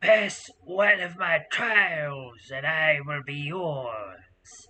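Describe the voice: A man puts on a raspy character voice at a fairly high pitch. He talks at a very slow pace.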